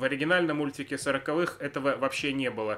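Fairly high in pitch, a man speaks in an ordinary speaking voice at a fairly quick pace, his intonation fairly even. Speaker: podcast co-host. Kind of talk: casual chat. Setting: indoor room with fireplace, in person.

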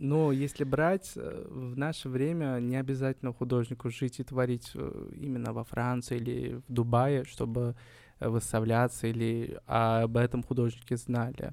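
Fairly slow delivery in an unremarkable speaking voice, the intonation fairly even. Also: man, medium pitch for a man. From Uzbekistan, Kokand, Fergana Valley. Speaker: painter. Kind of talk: interview.

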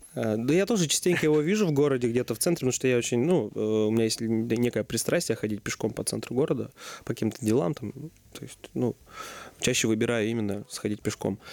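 Here is a man with an unremarkable speaking voice at a medium pitch. He talks at a fairly quick pace with ordinary pitch variation. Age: 20s. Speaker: restaurant co-founder. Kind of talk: interview.

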